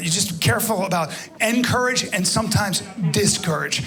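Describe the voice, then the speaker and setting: Through noticeable background noise, a man talks in a high pitch with ordinary pitch variation. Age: 50s. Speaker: stand-up comedian. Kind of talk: stand-up comedy set. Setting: live comedy club.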